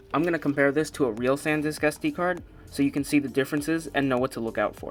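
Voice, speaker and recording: Music plays in the background as a man talks at a very fast pace. His fairly high voice holds fairly even intonation. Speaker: product reviewer. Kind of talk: casual talk to camera.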